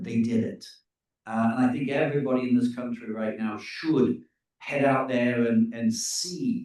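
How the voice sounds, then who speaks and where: The pitch varies in an ordinary way as the speech moves at a fairly slow pace. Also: man. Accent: English. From England. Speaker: tour company leader. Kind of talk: presentation. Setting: info session with live audience and Zoom. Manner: halting with fillers.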